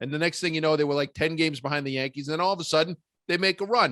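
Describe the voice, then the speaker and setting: A man's fairly high, animated voice with a Boston accent, very fast, in a dry, close sound with no echo. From Massachusetts, Beverly near Boston. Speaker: comedian. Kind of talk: casual chat.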